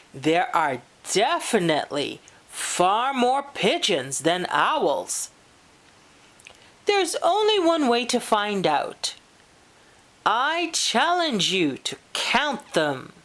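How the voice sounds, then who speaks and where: In a put-on character voice, a woman speaks high and very slowly, with long, frequent pauses. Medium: read story. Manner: boastful.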